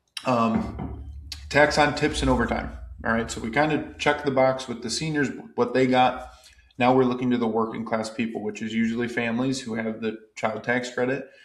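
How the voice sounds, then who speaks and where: A man with an American accent at a medium pitch and moderate pace, fairly even intonation and audible room echo. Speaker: tax advisor presenter. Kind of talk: educational explainer. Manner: casual, conversational.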